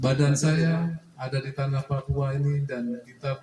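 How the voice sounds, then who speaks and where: A man at a medium pitch. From Java, Indonesia. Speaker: official speaker at cooperative meeting. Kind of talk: formal address at annual members meeting. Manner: blunt, outspoken.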